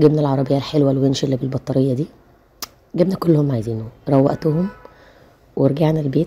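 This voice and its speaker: A woman with an Egyptian accent speaks in a very deep, low pitch. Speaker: family vlogger, mother. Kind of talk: vlog voiceover narration. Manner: casual, chatty.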